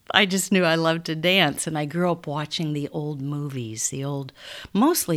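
A woman with a Midwestern American accent speaks at a moderate pace in a very deep, low voice, with ordinary pitch variation. The recording is very clean, with a silent background. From Council Bluffs, Iowa. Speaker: stage actress. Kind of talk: interview conversation.

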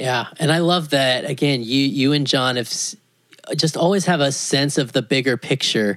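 At a moderate pace, a man with an unremarkable speaking voice talks at a fairly high pitch, with ordinary pitch variation and very even loudness. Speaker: podcast host. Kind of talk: interview. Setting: at home, in living room.

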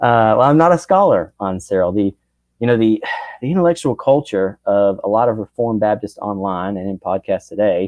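A man with an unremarkable speaking voice, fairly low in pitch, at a fairly quick pace with ordinary pitch variation. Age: 30s. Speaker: theology student and church teacher. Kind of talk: interview on church history. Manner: frequent filler words.

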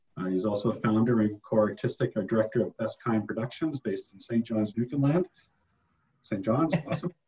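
This man's voice is somewhat breathy. He talks fairly quickly. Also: medium pitch for a man, ordinary pitch variation. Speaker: podcast host. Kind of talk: casual interview.

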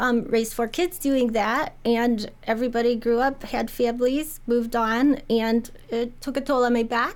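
In an American accent, a woman with a high pitch speaks at a moderate pace. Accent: Midwestern, noticeable to locals. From Indiana. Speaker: realtor. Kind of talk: casual radio interview. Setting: studio.

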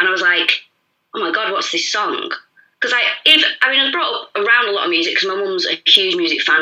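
The speaker talks at a very fast pace in a Mancunian accent. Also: woman. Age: 30s. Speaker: podcast guest. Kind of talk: casual chat.

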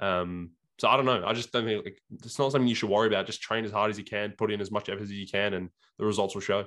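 Very fast and with fairly even intonation, a man talks in a fairly low voice with an Australian accent. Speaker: bodybuilding podcast co-host. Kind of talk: casual chat. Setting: video call.

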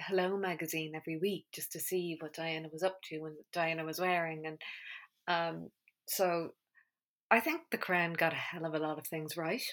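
Recorded very cleanly against a silent background, a woman with an Irish accent and a fairly low pitch speaks at a moderate pace with fairly even intonation. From Ireland. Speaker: podcast host. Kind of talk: casual monologue.

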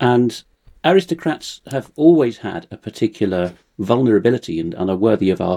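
A man with an RP accent has a dark, mellow tone. The sound is dry and close with no echo, over a quiet background. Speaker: translator and researcher. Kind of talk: conversational interview.

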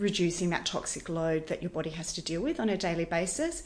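A woman talks with an Australian accent. Her pitch varies in an ordinary way. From Western Australia, Perth. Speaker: wellness educator. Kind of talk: interview. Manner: animated.

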